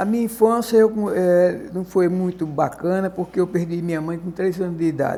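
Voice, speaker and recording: A high male voice, fairly slow, its pitch varying in an ordinary way. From Pernambuco, Brazil. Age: 80s+. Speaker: former mayor. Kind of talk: interview testimony. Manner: halting.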